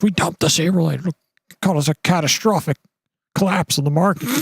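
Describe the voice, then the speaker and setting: A man's put-on character voice, high-pitched, at a fairly quick pace with fairly even intonation. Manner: dramatic, intense.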